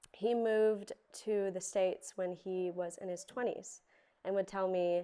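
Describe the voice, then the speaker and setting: A woman with an American accent speaks in a dark, mellow tone with monotone, flat intonation. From California, US. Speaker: panelist. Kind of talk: panel introduction. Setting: woolshed with live audience.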